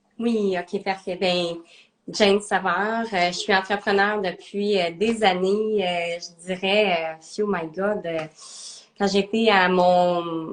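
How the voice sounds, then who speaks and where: Very slowly and with flat, monotone intonation, a woman speaks at a medium pitch in a slight Quebec accent. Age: 30s. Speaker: entrepreneur, nutrition coach. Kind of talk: interview. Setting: live video stream. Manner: hesitant, many fillers.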